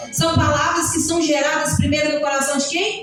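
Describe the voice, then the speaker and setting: Audible room echo and noticeable background noise surround the recording. A woman speaks at a high pitch. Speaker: preacher. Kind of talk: sermon. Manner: calm.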